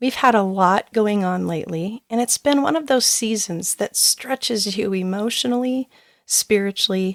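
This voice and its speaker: A soft-spoken woman talks at a moderate pace. Her fairly high voice has lively intonation. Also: dry, close sound with no echo. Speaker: parenting coach and podcast host. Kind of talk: personal reflective podcast talk.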